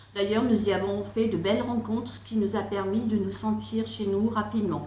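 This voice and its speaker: Background noise is noticeable and room echo audible. A woman talks at a moderate pace and medium pitch. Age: 60s. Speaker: estate agent. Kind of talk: campaign testimonial.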